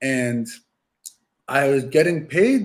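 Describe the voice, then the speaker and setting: A man speaks in an ordinary speaking voice at medium pitch. His intonation is lively. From New York City. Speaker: youth soccer coach. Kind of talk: podcast interview.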